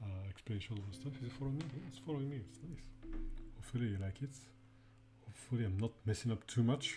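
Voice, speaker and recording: A breathy-edged man with a French accent talks at a very fast pace in a dark, mellow tone, his loudness swinging widely. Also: medium pitch for a man, ordinary pitch variation. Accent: French accent, fairly strong. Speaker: indie game developer streamer. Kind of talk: live dev stream commentary. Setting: live stream with chat. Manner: halting, many fillers and repetitions; casual, chill.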